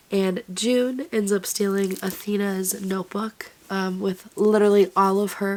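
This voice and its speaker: Noticeable background noise runs behind the voice. A woman speaks at a moderate pace and a medium pitch. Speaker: book vlogger. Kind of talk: casual vlog talk.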